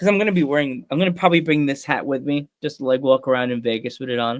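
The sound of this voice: At a fast pace, a man speaks in a medium pitch with fairly even intonation.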